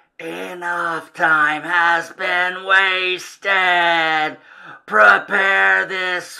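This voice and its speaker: The speaker puts on a character voice with middle pitch. The delivery comes at a very slow pace. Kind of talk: comic reading of horror villain. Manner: cold, menacing, pronouncing sentence.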